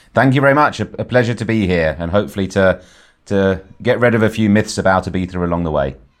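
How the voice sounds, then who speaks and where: Speaking at a very fast pace with an English accent, a man uses a fairly low pitch and ordinary pitch variation. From Ibiza, Spain, to English parents. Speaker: tour guide and entrepreneur. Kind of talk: interview. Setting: phone or video call. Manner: halting.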